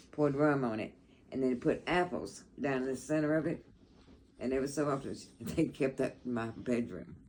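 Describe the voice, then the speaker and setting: The voice carries a Southern US accent. It moves at a moderate pace with ordinary pitch variation. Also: woman, very deep, low pitch for a woman. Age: 80s+. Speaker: grandmother sharing memories. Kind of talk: casual chat.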